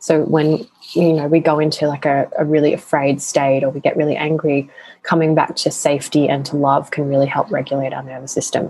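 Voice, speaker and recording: Monotone, flat intonation at a fairly quick pace, with an Australian accent. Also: woman, very deep, low pitch for a woman. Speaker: sex and empowerment coach. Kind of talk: casual interview chat.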